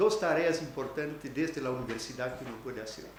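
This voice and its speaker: Noticeable background noise and audible room echo. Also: man. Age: 60s. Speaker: academic keynote speaker. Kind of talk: conference talk. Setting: university auditorium. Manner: halting, with many hesitations.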